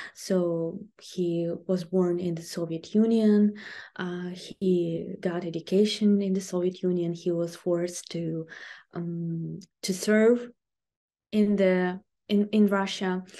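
A woman speaks very slowly in a Ukrainian accent, her dark, mellow tone held to a flat, monotone intonation. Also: medium pitch for a woman. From southern Ukraine, Kherson region. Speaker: language teacher and online video host. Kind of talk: interview. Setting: remote call from Ukraine. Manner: halting, many fillers.

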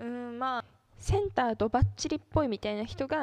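A woman in an unremarkable speaking voice, fairly even in intonation, against a quiet background. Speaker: solo podcaster and idol fan. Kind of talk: casual solo monologue.

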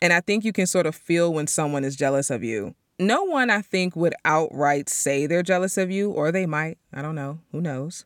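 On a very clean recording with a silent background, a woman with a fairly low pitch speaks in an animated tone with ordinary pitch variation, the sound dry and close with no echo. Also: moderate pace. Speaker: podcast host. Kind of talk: solo monologue podcast.

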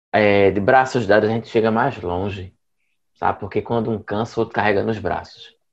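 Long, frequent pauses mark a man's moderate-paced speech, his pitch fairly low and his intonation fairly even. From Pernambuco interior, Brazil. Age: 20s. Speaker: LGBT rights activist. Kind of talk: panel discussion.

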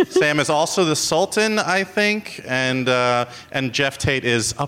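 Using lively intonation, a man talks at a fairly slow pace with hardly any pauses. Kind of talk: live podcast banter, quiz game. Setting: stage with audience at theater.

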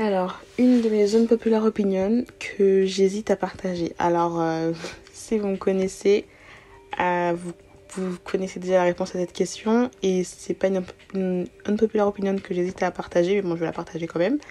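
With a slight non-native accent, a woman speaks at a moderate pace and a medium pitch, keeping her intonation fairly even. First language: not French (speaking French). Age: 20s. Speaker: podcast host. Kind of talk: casual monologue. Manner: hesitant, many fillers.

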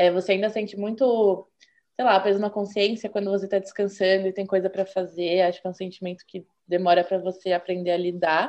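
A woman at medium pitch, fairly quick pace, and monotone, flat intonation. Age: 20s. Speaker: engineering student, former student association president. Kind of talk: interview.

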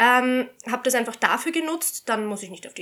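A woman's high, bright and sharp voice with ordinary pitch variation at a moderate pace, recorded very cleanly against a silent background. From Austria. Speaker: shooting instructor. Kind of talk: casual chat.

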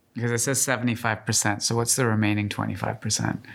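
A man with a Canadian accent and medium pitch has a plain, everyday voice. He moves at a fairly quick pace in a very clean recording with a silent background. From Canada, Calgary. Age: 40s. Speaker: podcast host and fashion editor. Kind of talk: interview. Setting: studio.

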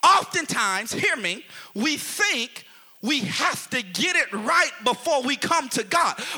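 A man's raised, projected voice, animated in tone with very wide pitch swings, at a fairly slow pace over noticeable background noise. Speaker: preacher. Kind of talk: sermon preached live to a responding congregation. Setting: church with congregation. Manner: animated, call-and-response, pulpit-style exhortation with rising intensity; rhetorical, repeating phrases for emphasis, with humor.

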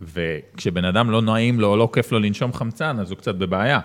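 An unremarkable speaking voice from a man, fairly low in pitch with ordinary pitch variation, on a very clean recording with a silent background. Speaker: marketing consultant. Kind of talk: casual interview.

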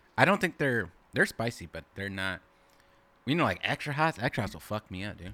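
On a very clean recording with a silent background, a man with an American accent and a fairly low pitch speaks at a fairly quick pace, his bright, sharp, animated tone moving through very wide pitch swings. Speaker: podcast host. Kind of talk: casual chat between friends. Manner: animated, profanity-heavy, slangy.

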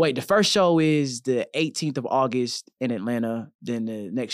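Recorded very cleanly against a silent background with a dry, close sound and no echo, a man with a plain, everyday voice and an American accent speaks at a moderate pace with ordinary pitch variation. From Texas, Killeen. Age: 20s. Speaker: rapper. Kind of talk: casual chat.

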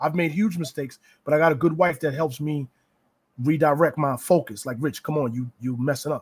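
A man with an American accent speaks at a moderate pace, somewhat breathy, with long, frequent pauses. His pitch is fairly high, with ordinary variation. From New Rochelle, New York. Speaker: preacher. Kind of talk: casual interview.

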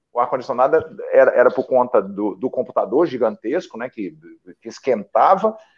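A man's voice over a quiet background. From Brazil, interior of São Paulo and Paraná. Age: 50s. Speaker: journalist and political campaign coach. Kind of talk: casual interview chat. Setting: online live stream. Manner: animated, frequent laughter; repetitive, halting restarts.

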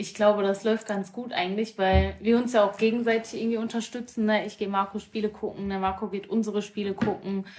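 With music in the background, a woman talks at a fairly quick pace with hardly any pauses, her medium-pitched voice monotone and flat. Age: 20s. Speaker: amateur women's football player. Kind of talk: casual chat.

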